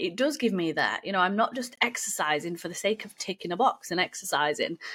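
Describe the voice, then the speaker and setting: A woman speaks at a medium pitch with very wide pitch swings. Her tone is bright and sharp, in a very clean recording with a silent background. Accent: British. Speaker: fitness coach. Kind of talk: casual solo podcast talk.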